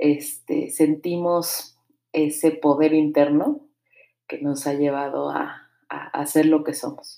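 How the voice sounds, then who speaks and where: In a Mexico City accent, a woman speaks very slowly with a very deep, low pitch and a dark, mellow tone. Her intonation is flat and monotone, while her loudness swings widely. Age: 30s. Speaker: podcast host, mother and singer. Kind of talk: casual monologue.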